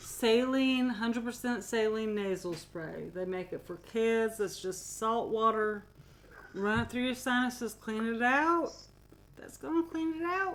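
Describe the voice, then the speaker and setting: A woman's fairly high voice with lively intonation at a fairly slow pace, in an American accent. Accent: southern US, sometimes. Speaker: podcast co-host. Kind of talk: casual chat. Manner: animated.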